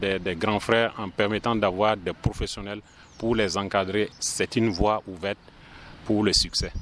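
A man speaks very slowly at a fairly low pitch, his intonation monotone and flat. Noticeable background noise runs underneath. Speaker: film club association president. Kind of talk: interview.

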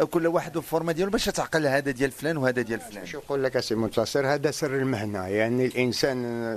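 A man's fairly high-pitched, fairly quick speech amid noticeable background noise. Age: 60s. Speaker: traditional bread oven keeper. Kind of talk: interview in his workplace. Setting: public bread oven.

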